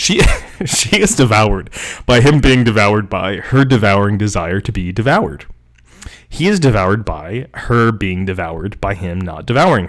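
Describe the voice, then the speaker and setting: In an American accent, a man with an ordinary speaking voice talks with lively intonation. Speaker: professor. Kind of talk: reading aloud with commentary. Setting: livestream.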